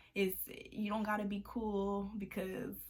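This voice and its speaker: Noticeable background noise sits behind a woman with an American accent. She talks at a medium pitch and a fairly slow pace. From Texas. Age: young. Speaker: college student. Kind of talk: casual advice talk to camera. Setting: room by a window with traffic noise.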